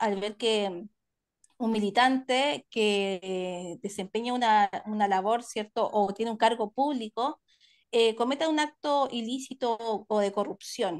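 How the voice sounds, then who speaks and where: A woman with an ordinary speaking voice speaks in a fairly high pitch with lively intonation against a quiet background. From Chile, Santiago (Maipú). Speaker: panelist. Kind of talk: panel discussion. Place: home room. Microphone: video call.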